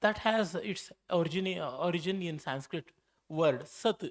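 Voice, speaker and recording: With a Kannada accent, a man speaks at a high pitch and a very slow pace. His intonation is lively. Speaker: scholar, keynote speaker. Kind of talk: lecture. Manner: halting, frequent fillers and self-corrections.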